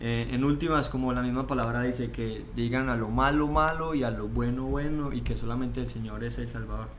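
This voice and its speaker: A man with a Colombian accent at a fairly quick pace with hardly any pauses, amid noticeable background noise and audible room echo. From Colombia, Pereira (coffee region). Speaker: seminary student. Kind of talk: interview.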